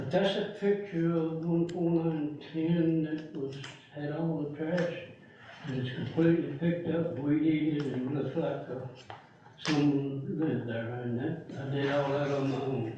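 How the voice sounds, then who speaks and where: A man with an American accent speaks at a fairly slow pace, with a fairly high pitch and fairly even intonation. Audible room echo and noticeable background noise surround him. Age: 80s+. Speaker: resident speaking at public meeting. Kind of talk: public comment. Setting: board meeting. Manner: halting.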